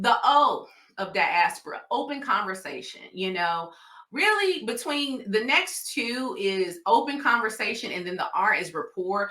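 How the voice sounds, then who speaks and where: A woman's high-pitched voice with a Southern US accent, very wide pitch swings and a fairly slow pace, over noticeable background noise. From US South. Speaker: nurse practitioner and diabetes educator. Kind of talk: educational talk. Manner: casual conversational.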